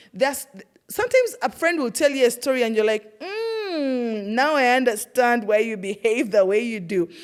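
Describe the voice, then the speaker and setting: A woman with a strong Ugandan accent, fairly high in pitch, animated in tone and moderate in pace. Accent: Ugandan, thick. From Uganda, Iganga. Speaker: podcast host, former teacher. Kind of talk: personal storytelling monologue. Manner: animated, conversational.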